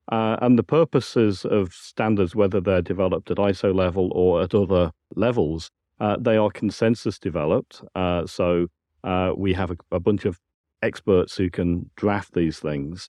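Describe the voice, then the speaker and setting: The speaker is a man with a British accent. His pitch is very deep and low. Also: ordinary pitch variation, moderate pace. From UK. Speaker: science and technical director. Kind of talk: interview. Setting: conference venue.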